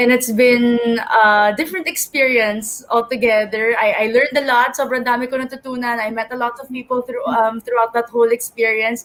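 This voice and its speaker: A woman speaks with a high pitch and fairly even intonation. Her pace is fairly quick, with hardly any pauses. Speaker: beauty pageant contestant. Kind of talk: pageant interview speech.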